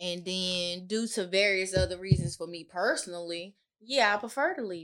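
With an unremarkable speaking voice, a woman talks at a moderate pace in a medium pitch, using ordinary pitch variation and big swings in loudness. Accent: American. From US South, Georgia (Augusta). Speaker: podcast guest. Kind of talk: casual chat.

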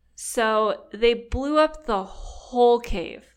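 A woman with an American accent speaks at a high pitch. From Southern California. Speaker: podcast host.

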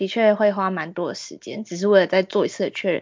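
At a fairly quick pace, a woman talks in a normal speaking voice with a medium pitch. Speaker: university student, podcast co-host. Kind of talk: casual chat.

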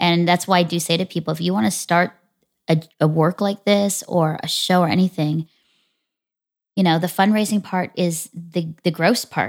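A woman's fairly low-pitched, a plain, everyday voice at a moderate pace, with fairly even intonation, on a very clean recording with a silent background. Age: 40s. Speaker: TV and radio host, producer. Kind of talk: casual chat.

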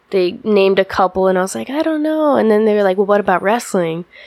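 A woman with an American accent has an ordinary speaking voice in a medium pitch. Her intonation is lively. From Washington State, US (Yakima). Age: 20s. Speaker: college wrestler. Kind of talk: interview.

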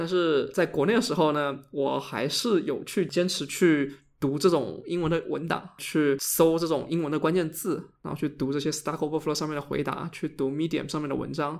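Speaking in a normal speaking voice, a man keeps a moderate pace, a fairly high pitch and fairly even intonation. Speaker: podcast host. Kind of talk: casual chat.

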